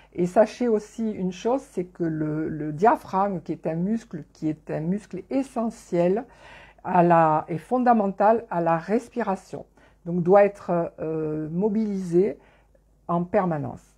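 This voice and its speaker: A dark, mellow voice speaks at a very slow pace with ordinary pitch variation over a quiet background. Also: woman, medium pitch for a woman. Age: 60s. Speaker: network marketing distributor giving a nutrition talk. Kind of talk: live online presentation. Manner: halting, many hesitations.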